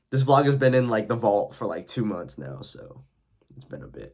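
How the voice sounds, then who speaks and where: With vocal fry and lively intonation, a man talks at a medium pitch. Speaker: vlogger. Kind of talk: casual vlog outro. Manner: halting, filler-heavy.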